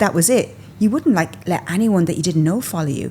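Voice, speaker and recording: A woman's voice with very wide pitch swings, over noticeable background noise. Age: 40s. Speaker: fashion content creator and stylist. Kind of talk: podcast interview answer. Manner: casual, chatty.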